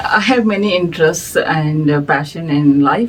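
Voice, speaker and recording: Over noticeable background noise, a woman with a Telugu accent speaks at a fairly slow pace with a very deep, low pitch. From India. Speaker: music society director. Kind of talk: interview. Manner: hesitant, many fillers.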